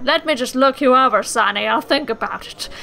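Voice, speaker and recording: A woman does a put-on character voice, high in pitch and at a fairly quick pace, over light background noise. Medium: game stream.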